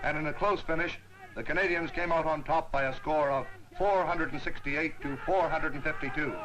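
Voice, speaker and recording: Fairly quick delivery over noticeable background noise, with ordinary pitch variation. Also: man, fairly high pitch for a man. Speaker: newsreel narrator. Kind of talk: wartime newsreel narration.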